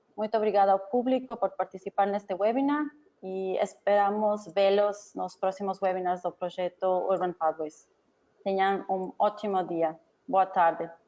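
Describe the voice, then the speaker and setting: This woman talks at a moderate pace, her medium pitch moving with ordinary variation. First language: not Portuguese (speaking Portuguese). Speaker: researcher and webinar organizer. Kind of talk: webinar closing remarks. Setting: online webinar. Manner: halting.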